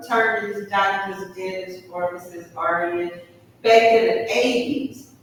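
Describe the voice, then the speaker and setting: With an American accent, a woman speaks at a fairly slow pace in a medium pitch, using ordinary pitch variation amid audible room echo. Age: 60s. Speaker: therapist. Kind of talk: seminar talk.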